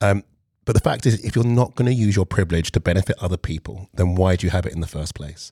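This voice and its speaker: A man's fairly low voice with a London accent at a very fast pace, very clean recording, silent background, dry, close sound with no echo. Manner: calm.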